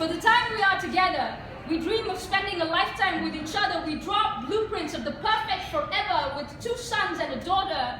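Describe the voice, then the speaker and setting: Amid noticeable background noise and audible room echo, a woman's raised, projected voice sits at an extremely high pitch, with lively intonation at a moderate pace. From India. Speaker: spoken word poet. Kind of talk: poetry performance. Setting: stage with audience.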